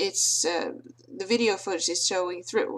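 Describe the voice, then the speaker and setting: A woman speaks with a Swedish accent at a medium pitch. Her pitch varies in an ordinary way. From Sweden. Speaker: video creator. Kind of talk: tutorial. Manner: halting, many fillers.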